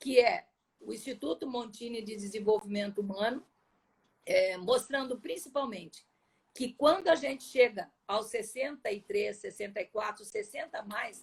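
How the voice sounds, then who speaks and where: Her intonation lively, a woman with an unremarkable speaking voice and a fairly high pitch speaks at a fairly slow pace. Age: 60s. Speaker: personal development coach. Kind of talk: interview.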